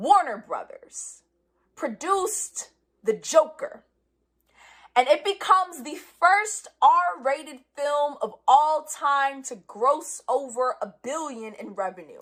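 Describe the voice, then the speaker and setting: A woman with a New York accent and a high pitch, very slow and with very wide pitch swings. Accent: New York City. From New York City, the Bronx. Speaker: spoken word poet. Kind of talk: spoken word performance. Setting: live stream from home.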